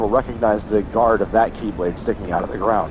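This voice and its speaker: The talking moves at a fairly quick pace against noticeable background noise. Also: man. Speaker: gaming YouTuber. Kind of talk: let's play commentary. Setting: recording from bed. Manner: casual, filler words.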